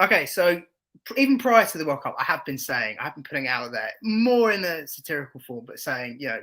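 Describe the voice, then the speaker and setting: A man with an English accent speaks at a very fast pace in a bright, sharp tone, his fairly high pitch swinging very widely and his loudness shifting in big swings. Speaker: football podcast co-host and content creator. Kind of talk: casual chat.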